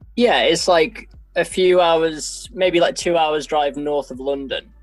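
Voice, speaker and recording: Background music is present. The words unfold very slowly. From Derbyshire, English Midlands. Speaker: musician and composer. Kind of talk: casual interview chat. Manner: hesitant, many fillers.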